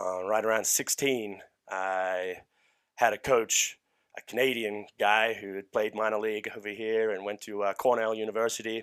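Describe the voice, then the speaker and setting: In a very clean recording with a silent background, a man talks in a flat monotone with an Australian accent. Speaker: strength coach. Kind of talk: casual chat. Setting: studio.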